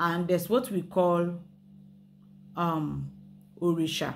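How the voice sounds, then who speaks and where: A woman with a Yoruba accent at a very slow pace, music in the background. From Nigeria, Yoruba. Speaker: spirituality and history channel host. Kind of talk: casual explanatory talk mixing Yoruba and English. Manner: hesitant, many fillers and restarts.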